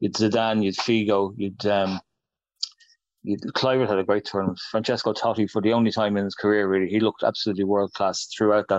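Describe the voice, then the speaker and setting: With an Irish accent, a man speaks in a monotone, flat intonation at a fairly low pitch and very even loudness. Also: fairly quick pace. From Ireland. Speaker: football writer and author. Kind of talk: casual interview.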